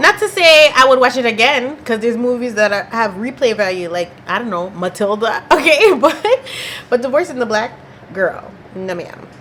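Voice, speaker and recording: The delivery is animated, with very wide pitch swings at a moderate pace. Noticeable background noise runs underneath. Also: woman. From Canada. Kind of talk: casual talk to camera. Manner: chatty, animated.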